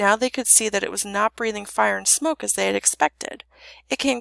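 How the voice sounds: The voice heard is a natural reading voice.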